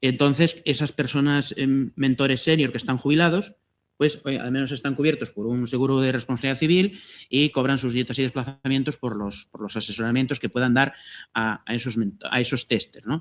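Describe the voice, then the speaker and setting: A medium-pitched male voice at a fairly quick pace, with ordinary pitch variation. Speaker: agroecology project coordinator. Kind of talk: panel talk. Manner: fast.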